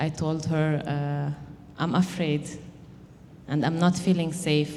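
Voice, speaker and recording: Speaking at a fairly slow pace with a non-native accent, the voice stays monotone and flat amid audible room echo and noticeable background noise. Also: woman. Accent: non-native English speaker. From Lebanon. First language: Arabic. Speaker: mother and immigrant housing program participant. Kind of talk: personal testimony. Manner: halting.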